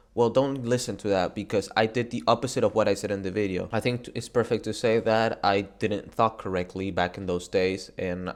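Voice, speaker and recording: A man speaks at a fairly quick pace in a fairly low voice with a Spanish accent. He leaves hardly any pauses. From Argentina. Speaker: gaming YouTuber. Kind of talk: motivational talk to camera. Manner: casual, halting with false starts.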